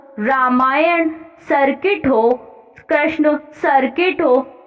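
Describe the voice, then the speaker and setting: There is music in the background. A woman speaks at a high pitch with ordinary pitch variation. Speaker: shorthand dictation reader for stenography exam practice. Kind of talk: exam dictation reading of a parliamentary speech. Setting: exam hall style. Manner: slow, measured, dictation pace with pauses.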